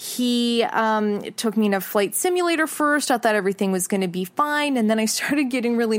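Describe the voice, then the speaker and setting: With a Canadian accent, a normal speaking voice moves at a moderate pace with lively intonation. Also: woman. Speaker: podcast host and news presenter. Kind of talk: scripted podcast hosting and interviewing.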